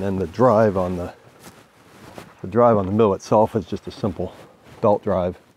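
Flat and monotone, a man speaks at a moderate pace in a fairly low pitch. The sound is dry with no echo. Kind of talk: casual explanatory tour. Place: open country. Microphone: phone near.

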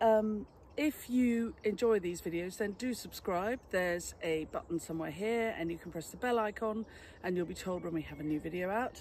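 Delivered at a fairly quick pace with ordinary pitch variation, the voice sounds dry with no echo over light background noise. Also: woman. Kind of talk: casual vlog chat. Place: garden.

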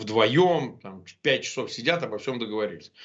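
With lively intonation, this man keeps to a moderate pace. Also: quiet background. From Russia. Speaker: lawyer and opposition blogger; lawyer, opposition blogger. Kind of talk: interview. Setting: remote link. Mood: confident, argumentative. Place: home room. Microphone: webcam.

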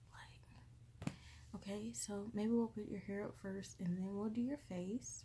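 A woman talks at a fairly slow pace, with noticeable background noise around her. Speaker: caring roleplay host. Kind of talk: soft-spoken roleplay chat. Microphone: phone near.

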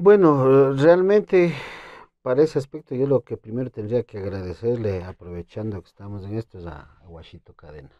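A man's dark, mellow voice at a moderate pace, with very wide pitch swings, dry sound with no echo and a quiet background. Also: medium pitch for a man, big swings in loudness. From Ecuador, Imbabura (Urcuquí); Imbabura. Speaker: requinto guitarist and composer; guest. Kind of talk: interview. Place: studio. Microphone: lapel.

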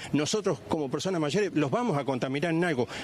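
A man at a fairly quick pace with lively intonation, dry sound with no echo, light background noise. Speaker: grandfather of alleged abuse victim. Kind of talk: news interview answer. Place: street. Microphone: handheld.

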